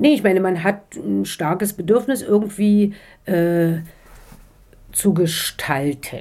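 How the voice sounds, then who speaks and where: On a very clean recording with a silent background, a woman speaks at a very slow pace with long, frequent pauses. Her tone is dark and mellow, with ordinary pitch variation and a slight East Berlin accent. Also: medium pitch for a woman. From East Berlin, Germany. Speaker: author. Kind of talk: interview. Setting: in Strasbourg. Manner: hesitant, many fillers.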